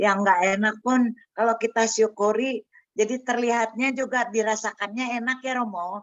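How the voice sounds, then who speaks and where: Fairly high-pitched woman's voice, moderate pace, monotone and flat in intonation. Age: 70s. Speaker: parishioner sharing faith. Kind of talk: testimony. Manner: halting.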